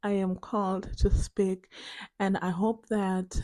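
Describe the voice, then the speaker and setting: A woman with a dark, mellow tone talks at medium pitch and a very slow pace in monotone, flat intonation, on a very clean recording with a silent background. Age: 20s. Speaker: vlogger. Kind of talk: casual video diary chat. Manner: rambling with many fillers.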